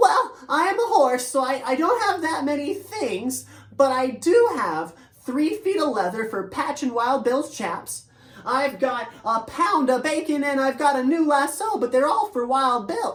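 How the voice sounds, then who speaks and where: A put-on character voice is used throughout. The delivery moves at a moderate pace. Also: female-sounding voice, high pitch for a woman. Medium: read story.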